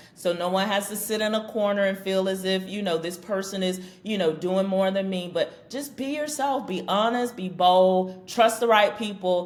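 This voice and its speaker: Speaking at a fairly slow pace with hardly any pauses, a woman of medium pitch comes through with audible room echo. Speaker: business strategy consultant. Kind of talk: podcast interview. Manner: loud.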